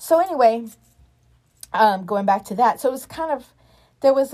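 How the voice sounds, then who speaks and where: On a very clean recording with a silent background, a woman with a dark, mellow tone speaks at a moderate pace. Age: 40s. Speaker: nonprofit director and makeup artist. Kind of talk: casual chat.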